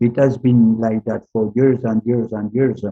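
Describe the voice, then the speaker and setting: Flat, monotone intonation runs through this man's speech. His pitch stays at a medium level. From France. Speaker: retired diplomat. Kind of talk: interview. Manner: halting, many fillers.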